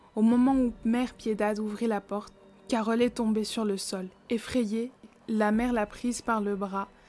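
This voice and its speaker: A woman speaks at a fairly slow pace in a fairly high voice with flat, monotone intonation. Music plays in the background. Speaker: horror storyteller and makeup creator. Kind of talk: horror story narration.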